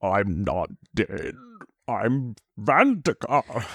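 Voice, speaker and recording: A man's put-on character voice at a medium pitch. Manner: hammy, theatrical.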